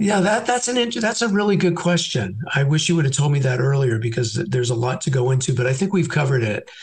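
Over noticeable background noise, a man with an American accent races at a very fast pace with hardly any pauses, fairly high pitch, and very wide pitch swings. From San Francisco Bay Area, California. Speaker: realtor. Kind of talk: casual interview. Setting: phone call.

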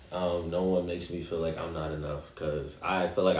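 Very deep, low male voice at a fairly quick pace, with audible room echo. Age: 20s. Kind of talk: casual chat.

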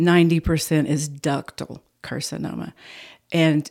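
The recording is very clean with a silent background. A woman speaks in a very deep, low voice. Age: 70s. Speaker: breast cancer patient. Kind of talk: interview. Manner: talkative.

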